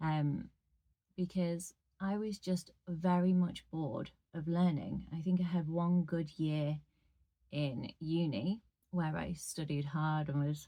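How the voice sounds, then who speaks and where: Her voice is fairly low in pitch, with a dark, mellow tone and a somewhat breathy quality. The woman uses ordinary pitch variation. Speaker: audiobook narrator. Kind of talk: casual talk to camera. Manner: chatty.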